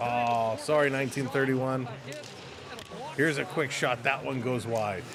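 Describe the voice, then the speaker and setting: Moderate speed and medium pitch from a male speaker, amid noticeable background noise. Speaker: hockey watch-party streamer. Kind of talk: live commentary. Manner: soft-spoken; animated.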